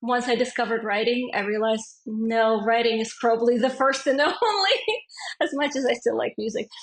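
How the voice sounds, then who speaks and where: The high voice of a woman at a moderate pace, its pitch varying in an ordinary way. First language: not English. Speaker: fantasy author. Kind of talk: casual interview chat.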